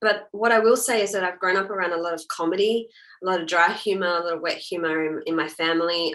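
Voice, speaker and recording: Speaking with an Australian accent, a woman talks at a fairly quick pace and medium pitch with ordinary pitch variation. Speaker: actor. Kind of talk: interview.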